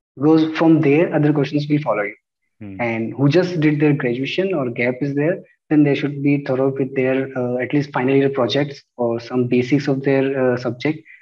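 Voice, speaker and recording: A man with an Indian accent at a moderate pace, fairly even in intonation, over a quiet background. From India, Rajasthan (Chittorgarh); Rajasthan, India. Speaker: exam topper, former bank officer; candidate. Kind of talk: interview. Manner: hesitant, many fillers. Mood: calm, polite. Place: home room. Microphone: earbuds.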